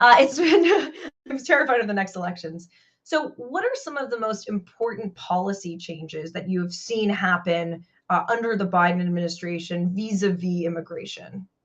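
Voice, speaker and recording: Using an ordinary speaking voice, she talks at a moderate speed with a medium pitch. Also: lively intonation. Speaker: podcast host. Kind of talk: interview.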